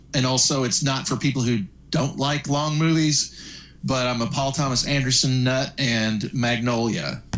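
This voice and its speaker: At a moderate pace, a man speaks in an unremarkable speaking voice, medium in pitch, with fairly even intonation and very even loudness. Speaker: podcast co-host. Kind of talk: casual chat.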